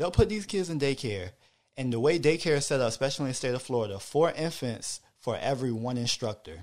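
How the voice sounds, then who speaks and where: A man talks at a very fast pace. His medium pitch carries lively intonation. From Hampton, Virginia. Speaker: father and podcast listener. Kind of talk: casual chat.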